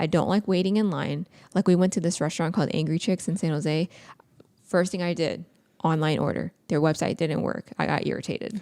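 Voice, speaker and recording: A woman's fairly low-pitched voice with vocal fry, a dark, mellow tone and fairly even intonation, in a very clean recording with a silent background. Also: fairly quick pace. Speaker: podcast co-host. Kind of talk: casual chat. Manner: fast.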